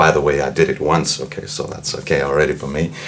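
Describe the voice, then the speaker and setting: A man speaks at a fairly quick pace in a very deep, low voice, with noticeable background noise behind him. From Austria. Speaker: singer and medical doctor, voice student. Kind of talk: interview.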